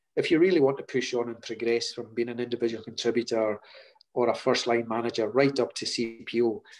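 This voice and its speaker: At a fairly quick pace, a man speaks with a Scottish Highlands accent. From Scotland, Hebrides. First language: Scottish Gaelic. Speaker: chief procurement officer. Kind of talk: interview. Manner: hesitant, repeats words.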